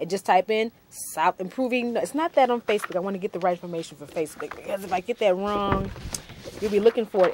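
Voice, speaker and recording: Noticeable background noise sits behind a woman who talks fairly quickly with lively intonation. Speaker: TV talk show host. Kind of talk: TV interview show, announcements.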